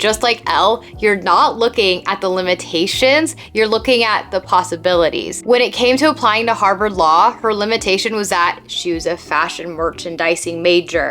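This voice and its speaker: With music playing behind her, a woman in an American accent speaks in an upbeat tone with lively intonation and hardly any pauses. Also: medium pitch for a woman, moderate pace. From United States, Seattle. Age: 20s. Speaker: YouTube creator. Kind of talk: casual talk to camera, self-improvement video. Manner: upbeat, chatty.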